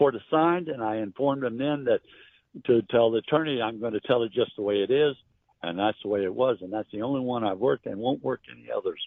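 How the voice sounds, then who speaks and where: At a very fast pace, a man speaks with a medium pitch. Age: 80s+. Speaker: private investigator. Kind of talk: interview. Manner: sounds hostile.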